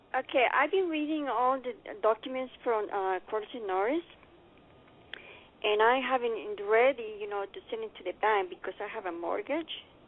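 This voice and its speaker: A woman with a non-native accent, fairly slow pace and ordinary pitch variation. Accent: heavy non-native. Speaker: caller. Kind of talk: call-in question. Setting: phone call. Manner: halting, many fillers.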